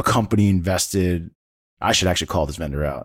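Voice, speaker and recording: The pitch of this man's voice varies in an ordinary way. His sound is dry and close, without any echo. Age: 40s. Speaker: tech podcast host and sales executive. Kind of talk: casual chat. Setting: podcast recording.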